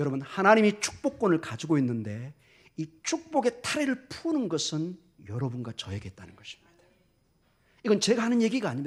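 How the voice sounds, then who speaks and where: A man speaks at a fairly quick pace. His pitch is high and swings very widely. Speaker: pastor. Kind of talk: sermon.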